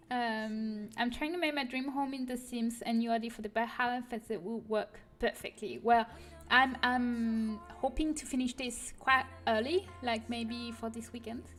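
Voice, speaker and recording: A woman with a French accent speaks at a fairly slow pace in a high voice, with fairly even intonation and hardly any pauses. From France (Paris). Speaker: custom content creator streamer. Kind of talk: casual livestream chat. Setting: livestream. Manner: hesitant, many fillers.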